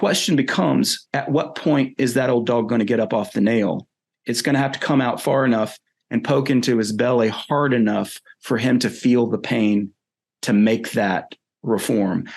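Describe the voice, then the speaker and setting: A man with a Southern US accent talks at a medium pitch and moderate pace, with ordinary pitch variation and very even loudness. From US South, North Carolina. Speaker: philosopher and writer. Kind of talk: interview. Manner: hesitant, with fillers.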